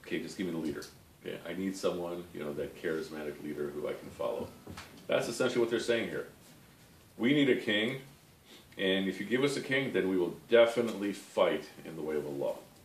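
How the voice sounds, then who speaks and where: Words tumble out at a very fast pace. Audible room echo surrounds the voice. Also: man, fairly low pitch for a man. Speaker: religious study teacher. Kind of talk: lecture. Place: home room. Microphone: camera far.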